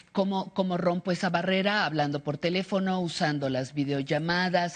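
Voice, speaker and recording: A woman with a plain, everyday voice speaks at a fairly low pitch and moderate pace with ordinary pitch variation. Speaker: TV host. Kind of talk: TV interview.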